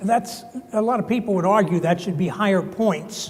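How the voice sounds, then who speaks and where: A man with a New Jersey accent speaks at a moderate pace in a high pitch, with noticeable background noise and audible room echo. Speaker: construction consultant, keynote speaker. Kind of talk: conference talk.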